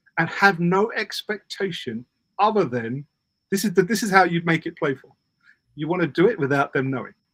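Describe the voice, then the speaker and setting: In a British accent, a man talks at a fairly quick pace with high pitch, lively intonation and an animated tone, the sound dry and close with no echo. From Britain. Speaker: parenting communication coach. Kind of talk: casual interview chat.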